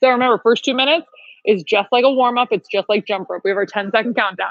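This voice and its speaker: Loud and animated, a woman speaks very fast at a high pitch with ordinary pitch variation. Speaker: fitness instructor. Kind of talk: live workout class instruction. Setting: home livestream workout.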